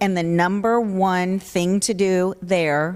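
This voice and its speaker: The voice belongs to a woman. Her pitch sits in the medium range. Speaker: audience member, association employee. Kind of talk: audience comment. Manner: loud.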